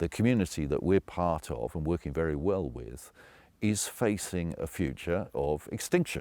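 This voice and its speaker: Very deep, low-pitched male voice with vocal fry and a dark, mellow tone, lively intonation at a moderate pace, on a very clean recording with a silent background. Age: 70s. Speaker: founder and CEO of a nature recovery company. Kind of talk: interview answer.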